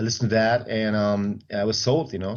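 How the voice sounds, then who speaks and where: A man speaks with a German accent at a fairly low pitch. His intonation stays fairly even. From Germany, Stuttgart. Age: 40s. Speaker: personal trainer and bodybuilder. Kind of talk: interview.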